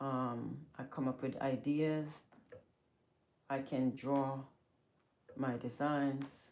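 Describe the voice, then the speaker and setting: In a very deep, low pitch, a woman speaks very slowly with monotone, flat intonation, very even loudness, and long, frequent pauses. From Jamaica. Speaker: fashion designer and seamstress. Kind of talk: live-stream sewing tutorial and chat. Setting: clothing studio.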